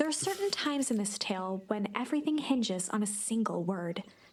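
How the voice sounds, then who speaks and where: Noticeable background noise sits behind a woman's voice. She speaks at a moderate pace with a medium pitch and lively intonation. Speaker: game narrator. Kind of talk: formal, storybook narration. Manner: dramatic, theatrical storytelling.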